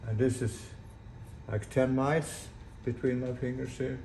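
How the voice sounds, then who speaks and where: With a Swedish accent, a man speaks in a dark, mellow tone with fairly even intonation and audible room echo. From Sweden. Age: 80s+. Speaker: sailor and boat builder. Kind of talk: casual video blog. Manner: halting.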